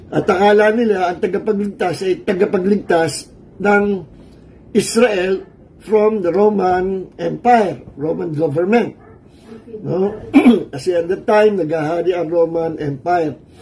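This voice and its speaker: A man's high-pitched voice goes at a fairly slow pace, and its pitch varies in an ordinary way. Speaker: pastor. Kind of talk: sermon. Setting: livestream from a cold room. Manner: Taglish, conversational.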